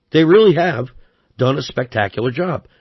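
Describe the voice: The delivery moves at a moderate pace, with lively intonation and a slightly husky edge. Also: man, fairly high pitch for a man.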